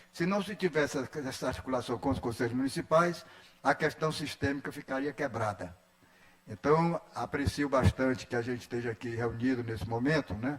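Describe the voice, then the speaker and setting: A man's voice comes out somewhat breathy. His intonation is lively. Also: medium pitch for a man, moderate pace. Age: 80s+. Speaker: educator, education council member. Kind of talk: formal speech at solemn session. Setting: legislative assembly ceremony.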